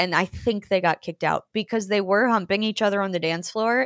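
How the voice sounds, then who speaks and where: On a very clean recording with a silent background and a dry, close sound with no echo, a woman with an American accent speaks at a moderate pace in a normal speaking voice. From US South, Georgia. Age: 30s. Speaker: comedian. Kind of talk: casual chat.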